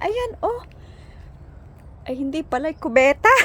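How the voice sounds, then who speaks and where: Amid noticeable background noise, a woman talks at a moderate pace in an animated tone with very wide pitch swings. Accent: Batangas. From Batangas, Philippines. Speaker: vlogger. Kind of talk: casual vlog narration while walking. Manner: animated, exclamatory.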